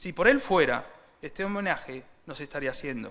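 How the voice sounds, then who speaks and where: A man speaks in a high voice at a moderate pace, his pitch swinging very widely, with audible room echo. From Seville, Andalusia, Spain. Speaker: church speaker giving a tribute. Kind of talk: formal tribute speech. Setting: church service.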